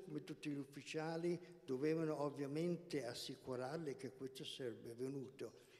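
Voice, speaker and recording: A dark, mellow tone with ordinary pitch variation at a moderate pace. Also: man. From England, son of Italian mother and Polish father. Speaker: co-presenter, historical context speaker; guest. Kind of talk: historical presentation and personal testimony; talk explaining history to an audience. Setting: stage with audience, live streamed. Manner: halting. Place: hall. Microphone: handheld.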